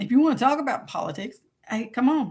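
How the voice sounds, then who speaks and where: A woman with a Kentucky accent, high-pitched and fairly quick. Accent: Kentucky Southern US. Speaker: podcast host. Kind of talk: casual solo livestream chat. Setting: livestream and podcast recording. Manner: animated.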